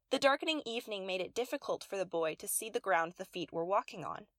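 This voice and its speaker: A woman with an unremarkable speaking voice talks at medium pitch and a fairly quick pace with lively intonation, in a dry, close sound with no echo. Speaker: poet reading own poem. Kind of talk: poetry reading aloud, spoken-word narrative poem. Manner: playful, tongue-twisting wordplay with alliteration and rhyme, storyteller delivery.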